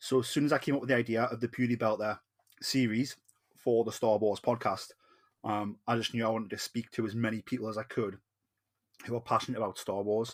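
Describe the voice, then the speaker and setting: A man with a Geordie accent speaks at a very fast pace and a medium pitch. His intonation is monotone and flat, in a very clean recording with a silent background. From northern England, Newcastle. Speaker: podcast host. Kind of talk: casual podcast chat. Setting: recording in Newcastle.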